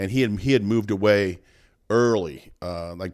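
A man's unremarkable speaking voice, fairly low with ordinary pitch variation, on a very clean recording over a silent background. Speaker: podcast co-host. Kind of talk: casual chat. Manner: playful, talkative.

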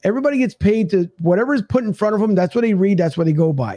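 This man speaks very fast with an American accent, his dark, mellow tone carried by lively intonation. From Philadelphia. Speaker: sports podcast host. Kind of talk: casual chat. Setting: studio.

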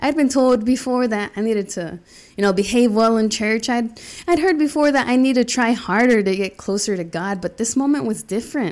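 A woman's voice, an ordinary speaking voice, with an American accent, fairly high pitch, ordinary pitch variation and a fairly quick pace. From US South, Charlotte, North Carolina. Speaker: podcast host. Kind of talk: personal storytelling monologue.

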